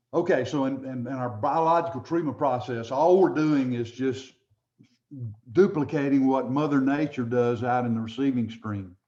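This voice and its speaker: The voice belongs to a man, dark and mellow in tone. His speech carries audible room echo. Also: medium pitch for a man, ordinary pitch variation, moderate pace. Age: 70s. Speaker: environmental engineering instructor. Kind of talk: lecture. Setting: webinar with shared screen.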